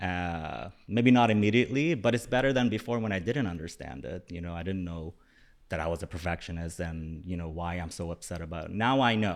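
A man speaks with a very deep, low pitch and ordinary pitch variation. His pace is moderate, and the recording is very clean with a silent background. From UAE. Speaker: content creator. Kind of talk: casual chat. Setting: studio.

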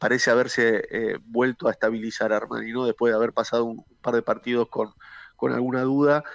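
Against a quiet background, a man talks at a fairly quick pace with a dry, close sound and no echo. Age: 40s. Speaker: former footballer. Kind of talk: interview. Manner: halting, many repeated words.

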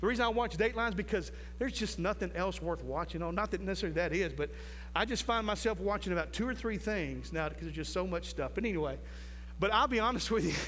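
Amid audible room echo, a man talks at a very fast pace. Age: 50s. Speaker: preacher. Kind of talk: sermon. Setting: church with live congregation.

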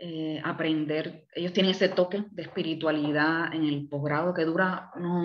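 A woman speaks in an unremarkable speaking voice at fairly low pitch, with fairly even intonation and a fairly slow pace. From Cuba, Havana. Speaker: therapist and counselor. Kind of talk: interview.

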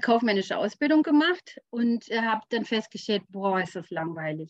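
At a moderate pace, a woman with a fairly high pitch talks in very wide pitch swings, the sound dry and close with no echo. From rural Germany. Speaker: business coach. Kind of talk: interview.

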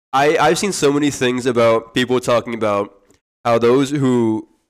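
Medium-pitched male speech, an unremarkable speaking voice with ordinary pitch variation. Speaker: podcast host. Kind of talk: casual chat. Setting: live stream. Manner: joking, playful.

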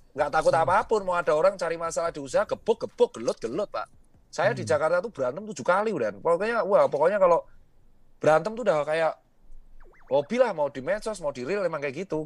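At a very fast pace, a man speaks with high pitch and lively intonation in a dry, close sound with no echo. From Central Java (Yogyakarta/Solo). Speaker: entrepreneur. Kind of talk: casual chat. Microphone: too quiet, switched to headset.

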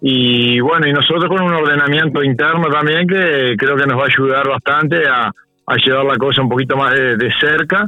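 Against music in the background, a man speaks at a moderate pace with hardly any pauses, in a fairly high pitch with ordinary pitch variation and very even loudness. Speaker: board member of a local therapy centre. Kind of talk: radio interview. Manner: halting, many repeated words and fillers.

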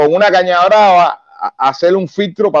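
The speaker talks at a moderate pace in a Cuban accent. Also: man. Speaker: Cuban opposition activist and former soldier. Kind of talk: interview.

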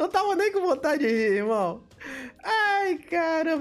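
His pitch swinging very widely, a man talks at a moderate speed against noticeable background noise. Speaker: bodybuilding livestream host. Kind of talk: casual live chat reading superchats. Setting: livestream. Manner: animated.

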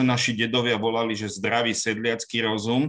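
A man's medium pitch moves at a fairly quick pace. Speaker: court expert on digital evidence. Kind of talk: panel discussion.

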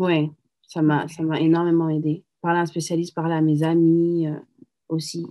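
At a moderate pace, a woman speaks in a flat monotone with a fairly low pitch and a dark, mellow tone. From France, Paris. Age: 30s. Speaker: single mother, entrepreneur. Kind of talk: testimony.

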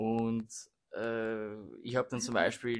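A man with medium pitch speaks in a monotone, flat intonation on a very clean recording with a silent background. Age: 20s. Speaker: law student. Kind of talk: casual chat. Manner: halting.

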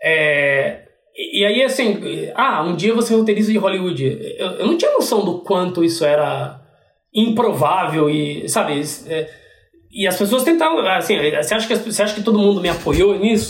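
The speaker's intonation is lively, the pace moderate, and room echo can be heard. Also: man, high pitch for a man. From Brazil, interior of São Paulo state (Piracicaba). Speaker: TV screenwriter. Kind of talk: casual interview.

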